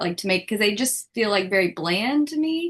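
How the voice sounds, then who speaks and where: A woman's fairly high voice with lively intonation, in a Southern US accent. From US South. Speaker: class participant. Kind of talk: question in class. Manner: casual, hesitant.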